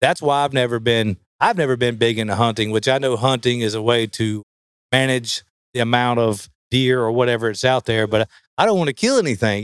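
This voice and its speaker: The sound is dry and close with no echo as a man of medium pitch talks at a fairly quick pace. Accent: Southern US. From US South. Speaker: professional bass angler. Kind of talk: casual interview.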